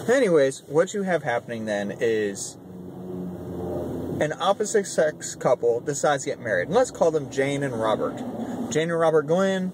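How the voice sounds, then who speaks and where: A man talks at a moderate pace in a fairly high voice, with very wide pitch swings, as noticeable background noise carries on behind him. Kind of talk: casual commentary to camera. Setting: in a car.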